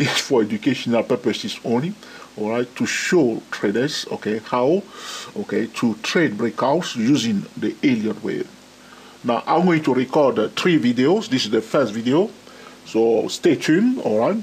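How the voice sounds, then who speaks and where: With lively intonation, a man at a medium pitch speaks amid noticeable background noise. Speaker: trading educator. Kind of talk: tutorial. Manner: slow; frequent fillers.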